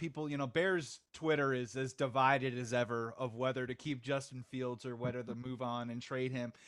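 An unremarkable speaking voice from a man at medium pitch, fairly quick in pace, on a very clean recording with a silent background. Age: 40s. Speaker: podcast host. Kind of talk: casual sports chat.

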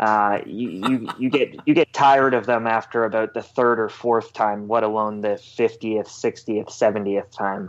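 A man's plain, everyday voice at medium pitch, moderate pace, fairly even intonation, hardly any pauses, and a quiet background. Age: 20s. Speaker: sports journalist. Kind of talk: casual interview.

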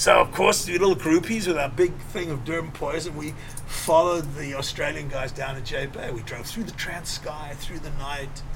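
Noticeable background noise runs through the clip. A man talks at a fairly high pitch. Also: ordinary pitch variation, moderate pace, hardly any pauses, big swings in loudness. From South Africa. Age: 60s. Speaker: filmmaker and surfer. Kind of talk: interview. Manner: casual, rambling.

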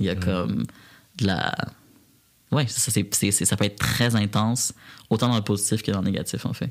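A man at a moderate pace, fairly even in intonation, with long, frequent pauses. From Quebec, Repentigny. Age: 20s. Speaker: community organization director. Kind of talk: interview.

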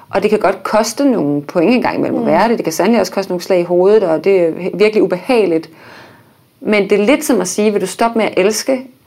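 A woman at a very fast pace, medium in pitch with ordinary pitch variation, over noticeable background noise. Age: 30s. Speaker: baking show winner, architect and blogger. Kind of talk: casual chat. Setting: studio.

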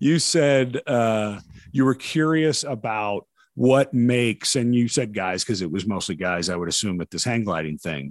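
A man with a plain, everyday voice speaks at a medium pitch and moderate pace, with lively intonation and a dry, close sound with no echo. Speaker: podcast host. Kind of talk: casual interview conversation.

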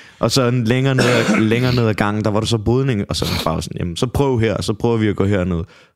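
A man talks at a fairly quick pace with hardly any pauses, medium pitch and fairly even intonation. Noticeable background noise is present. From Copenhagen, Denmark. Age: 20s. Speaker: MMA fighter. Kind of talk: casual chat.

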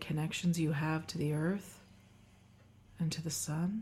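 A woman's gentle, calm voice, dark and mellow, fairly low in pitch and somewhat breathy, with monotone, flat intonation and long, frequent pauses. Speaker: wellness doctor and podcast host. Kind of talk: guided meditation. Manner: slow, calm, soothing; gentle, unhurried instructions with pauses.

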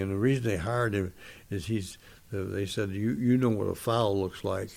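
A man with an American accent, fairly low pitch, fairly even intonation and a fairly quick pace, with audible room echo. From US West Coast, Los Angeles area. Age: 80s+. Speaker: retired football referee and former school principal. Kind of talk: interview. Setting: at his home.

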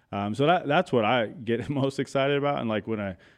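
Using a normal speaking voice with an American accent, a man talks at a fairly quick pace with ordinary pitch variation. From Arizona, Chandler. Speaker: clothing brand founder. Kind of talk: casual interview.

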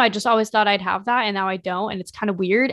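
A woman's normal speaking voice, medium in pitch, with fairly even intonation, on a very clean recording with a silent background. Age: 20s. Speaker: fashion podcaster and YouTuber. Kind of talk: casual solo chat. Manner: chatty, many fillers.

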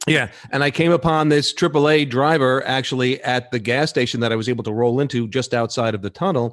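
With a New York accent, a man of medium pitch talks at a fairly quick pace with hardly any pauses. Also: ordinary pitch variation. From New York City (Queens). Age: middle-aged. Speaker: podcast host. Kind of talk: casual chat.

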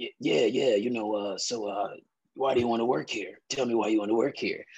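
A man's raspy, put-on character voice at medium pitch and a fairly quick pace. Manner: intimidating.

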